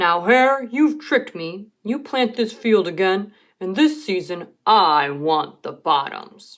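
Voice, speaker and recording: Against a quiet background, a female-sounding put-on character voice at a medium pitch moves at a fairly slow pace with hardly any pauses. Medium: read story. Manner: slow, drowsy.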